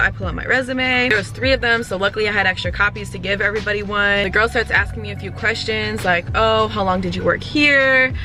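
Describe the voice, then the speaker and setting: A woman's speech moves at a moderate pace, with noticeable background noise behind it. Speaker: vlogger. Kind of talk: vlog narration. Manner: casual, animated.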